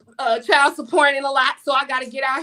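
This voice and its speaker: Raising and projecting her voice, a high-pitched woman talks at a fairly quick pace with an animated, bright, sharp tone. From US South. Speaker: life coach and author. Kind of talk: interview. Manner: loud.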